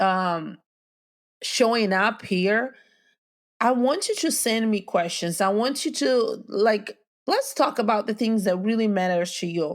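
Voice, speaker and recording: A woman with a non-native accent speaks fairly slowly at a fairly high pitch with ordinary pitch variation, in a very clean recording with a silent background. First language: not English. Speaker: podcast host. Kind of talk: motivational talk. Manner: casual.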